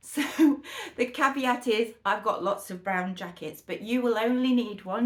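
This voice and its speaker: Enthusiastic and lively in intonation, a woman speaks at a fairly slow pace. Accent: British. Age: 60s. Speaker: fashion vlogger. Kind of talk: try-on haul chat. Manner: chatty, enthusiastic.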